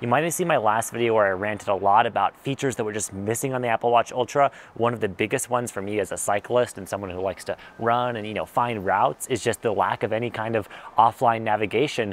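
A man talking at a very fast pace, fairly even intonation, dry sound with no echo. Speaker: tech reviewer. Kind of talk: casual review to camera. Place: garden. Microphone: lapel.

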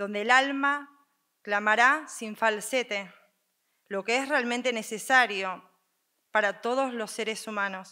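Against a quiet background, a woman speaks at a fairly slow pace in a solemn tone that is also bright and sharp, with long, frequent pauses. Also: fairly high pitch for a woman, ordinary pitch variation. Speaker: co-pregonera, speaker. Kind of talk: formal, ceremonial speech with poetic phrasing. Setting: stage with audience. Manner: formal, solemn, emotional. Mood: earnest, emphatic. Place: stage. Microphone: podium.

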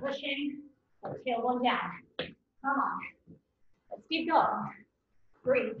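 Speaking very slowly, a woman uses a high pitch with ordinary pitch variation. Audible room echo is present. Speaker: fitness instructor. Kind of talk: workout coaching. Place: home room. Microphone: camera far.

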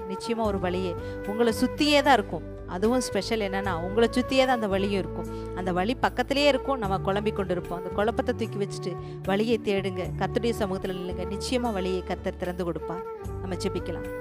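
A woman's voice in a dry setting with no echo, clear music in the background. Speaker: preacher. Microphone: handheld.

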